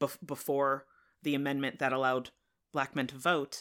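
This woman has a very deep, low pitch and a bright, sharp tone, with an American accent. She speaks in a flat monotone on a very clean recording with a silent background. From central Connecticut. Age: 40s. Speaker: podcast guest, English major. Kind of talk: casual book discussion.

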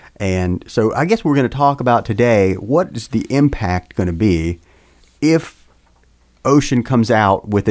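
A man with an ordinary speaking voice and lively intonation. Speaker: podcast co-host. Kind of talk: casual panel discussion about radio gear.

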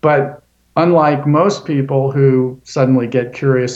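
With an ordinary speaking voice, a man talks at a medium pitch and fairly even intonation. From Florida, US. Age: 60s. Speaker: journalist and author. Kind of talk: interview.

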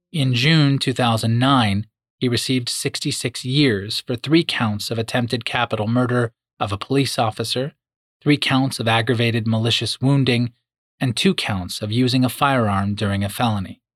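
At a moderate pace and with ordinary pitch variation, a plain, everyday voice comes through dry and close with no echo. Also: man, medium pitch for a man. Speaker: true crime narrator. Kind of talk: true-crime narration, scripted and serious. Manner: measured, grave, storytelling pace; formal, clear and expository.

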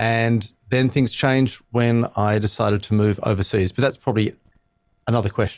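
A man's medium-pitched voice with an Australian accent, fairly even intonation, a moderate pace and very even loudness. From Australia, Sydney. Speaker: speechwriter and communications trainer. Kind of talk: interview conversation.

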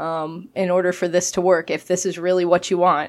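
A woman's normal speaking voice at a medium pitch and moderate pace, in a very clean recording with a silent background. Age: 30s. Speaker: podcast co-host and teacher. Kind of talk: casual chat.

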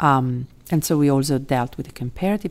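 A woman's very deep, low voice in an Italian accent, at a moderate pace with ordinary pitch variation, in a very clean recording with a silent background. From Italy. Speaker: law professor. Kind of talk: interview. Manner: halting, many fillers.

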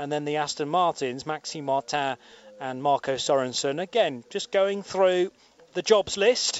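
He is a man with an ordinary speaking voice and a fairly high pitch. He talks at a fairly slow pace with ordinary pitch variation. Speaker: radio commentator. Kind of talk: live commentary. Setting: commentary box at race circuit.

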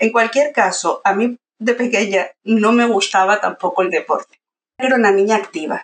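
A woman at a moderate pace with ordinary pitch variation, in a dry, close sound with no echo. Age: 50s. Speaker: university pedagogy lecturer. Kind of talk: casual interview.

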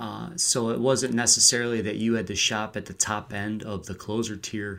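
An ordinary speaking voice belongs to this man, who talks at a moderate pace with medium pitch and fairly even intonation. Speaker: fantasy baseball analyst, relief pitcher writer. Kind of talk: casual chat.

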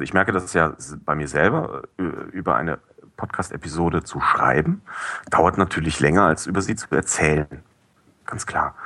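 Using a bright, sharp tone with vocal fry, a man talks at a moderate pace with ordinary pitch variation and long, frequent pauses. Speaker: podcast review blogger. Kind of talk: casual chat. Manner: hesitant, many fillers. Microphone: cheap headset, high noise.

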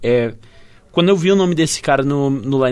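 An ordinary speaking voice, moderately paced, its pitch varying in an ordinary way. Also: man. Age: 20s. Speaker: podcast co-host. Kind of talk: casual chat.

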